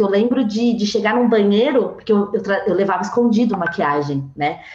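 Amid noticeable background noise, a woman talks at a fairly quick pace in a fairly high pitch. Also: very even loudness. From São Paulo, east zone. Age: 20s. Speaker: tech sales professional. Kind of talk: casual chat. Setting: video call.

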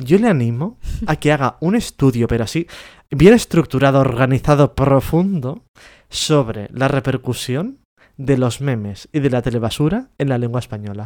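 In an unremarkable speaking voice of medium pitch, a man talks at a moderate pace with lively intonation on a very clean recording with a silent background. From Spain, Catalonia. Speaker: podcast co-host. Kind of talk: casual chat.

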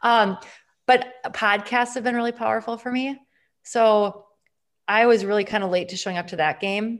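A woman with an American accent has an unremarkable speaking voice, using ordinary pitch variation at a moderate pace. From Wisconsin, Green Bay. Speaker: integrative medicine physician. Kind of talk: interview conversation.

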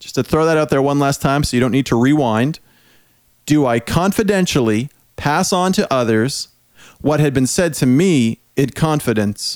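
A man with an ordinary speaking voice talks at a moderate pace with a fairly high pitch and ordinary pitch variation. The recording is very clean, with a silent background. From Prince Edward Island, Canada. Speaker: podcast host. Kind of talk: casual chat.

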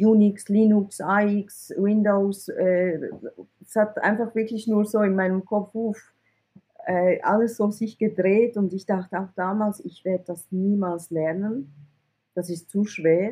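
At a very slow pace, a woman speaks at a medium pitch in a somewhat breathy, dark, mellow tone with fairly even intonation. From Switzerland (from Iran, arrived at age eight). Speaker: IT recruiter, entrepreneur. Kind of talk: interview.

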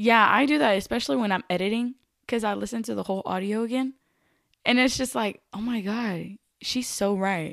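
Delivered at a fairly quick pace with an animated tone and ordinary pitch variation, the speech comes through on a very clean recording against a silent background. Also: woman, fairly high pitch for a woman. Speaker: podcast co-host. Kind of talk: casual chat. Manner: casual, animated.

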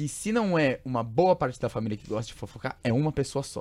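A man talks in an ordinary speaking voice at medium pitch. His intonation is lively and his pace fairly quick. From São Paulo state interior, Brazil. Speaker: podcast host. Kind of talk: casual chat. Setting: studio.

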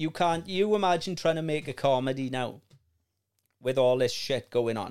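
In a Welsh accent, a man speaks with a fairly high pitch and ordinary pitch variation. The recording is very clean with a silent background. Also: moderate pace. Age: 30s. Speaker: podcast host. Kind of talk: casual chat.

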